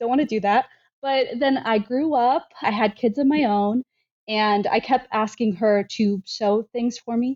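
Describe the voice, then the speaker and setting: A woman speaks with an American accent and an unremarkable speaking voice. Her pitch is fairly high, with ordinary variation. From US, military family moving around. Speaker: quilter and sewing designer. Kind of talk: casual chat.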